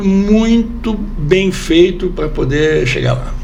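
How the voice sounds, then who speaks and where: A man with a high pitch and lively intonation is heard with audible room echo and noticeable background noise. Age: 60s. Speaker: lawyer. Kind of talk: TV interview. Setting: TV studio, live.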